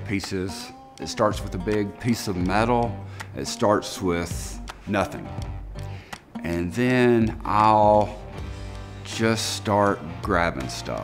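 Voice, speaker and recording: Clear music plays in the background as a man speaks at a very slow pace with long, frequent pauses. His pitch is fairly low, with ordinary variation. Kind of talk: interview answer. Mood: reflective, warm. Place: workshop. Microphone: lapel.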